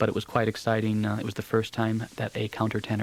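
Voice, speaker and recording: A man with an American accent talks very fast at a fairly low pitch over noticeable background noise. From United States. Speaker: opera singer. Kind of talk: radio interview. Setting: radio studio.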